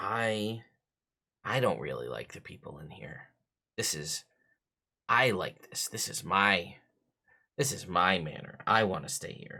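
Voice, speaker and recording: Speaking fairly slowly, a man puts on a raspy character voice pitched fairly low. He leaves long, frequent pauses. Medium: actual play. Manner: wheedling, coaxing, speaks telepathically.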